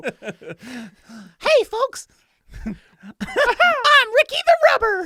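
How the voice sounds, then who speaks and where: A squeaky put-on character voice at an extremely high pitch moves at a very slow pace. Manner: cheerful, cartoon-like.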